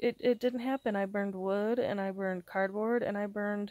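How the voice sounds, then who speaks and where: With a very clean recording and silent background, a woman speaks quietly at a moderate pace. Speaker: vlogger. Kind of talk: casual vlog monologue. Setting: alone at home, recording to camera. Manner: halting, hesitant with fillers.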